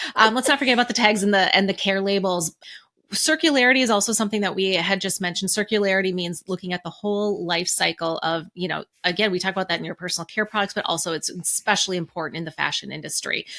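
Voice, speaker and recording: In a very clean recording with a silent background, a woman with a Minnesotan accent speaks at a very fast pace in a bright, sharp tone with ordinary pitch variation. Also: medium pitch for a woman. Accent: Minnesota. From Minnesota, US Midwest. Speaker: podcast co-host. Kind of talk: casual podcast discussion.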